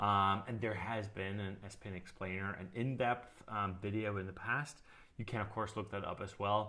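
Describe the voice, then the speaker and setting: Amid audible room echo, a man with a fairly low pitch and a bright, sharp tone speaks at a moderate pace in a monotone, flat intonation. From Austria. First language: German. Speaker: live stream co-host, software company team member. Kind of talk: casual live stream Q&A.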